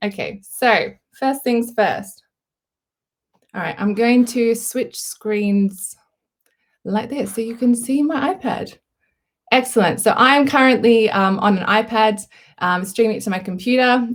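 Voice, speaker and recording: With an Australian accent and a fairly high pitch, a woman speaks at a fairly slow pace with ordinary pitch variation and long, frequent pauses against a quiet background. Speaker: artist. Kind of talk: live tutorial. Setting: live stream. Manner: casual, lots of fillers. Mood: friendly, upbeat. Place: home room. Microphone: webcam.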